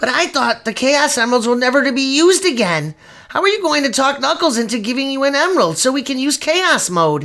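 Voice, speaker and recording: The speaker uses a put-on character voice and talks at a fairly quick pace. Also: man, extremely high pitch for a man. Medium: fan dub. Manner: eager, earnest.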